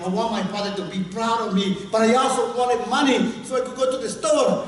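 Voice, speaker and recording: Noticeable noise sits in the background, and the room echo is audible. Through both, a man is talking. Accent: Spanish. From Guatemala. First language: Spanish. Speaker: storyteller. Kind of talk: storytelling. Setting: workshop with audience.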